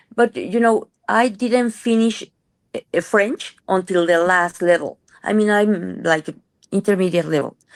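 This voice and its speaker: A woman with a Spanish accent talks fairly slowly at a medium pitch, with ordinary pitch variation, very even loudness and a dry, close sound with no echo. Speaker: rheumatologist. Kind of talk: casual interview.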